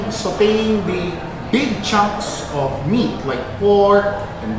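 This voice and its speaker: A man talks with audible room echo and noticeable background noise. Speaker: guest. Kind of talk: conversational explanation. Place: cafe.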